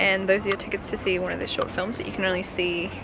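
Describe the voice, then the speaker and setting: A woman talking at a very fast pace, dry sound with no echo, noticeable background noise behind her. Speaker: travel vlogger. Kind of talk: casual vlog chat. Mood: cheerful, amused. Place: street. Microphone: phone near.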